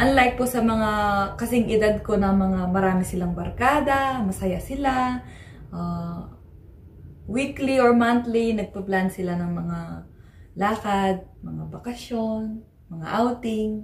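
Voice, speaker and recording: Speaking at a very slow pace, a woman uses ordinary pitch variation. Audible room echo and light background noise are present. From Philippines. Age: 20s. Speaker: vlogger. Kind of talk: vlog monologue; casual vlog chat. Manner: hesitant, many fillers. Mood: reflective, personal. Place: home room. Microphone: phone near.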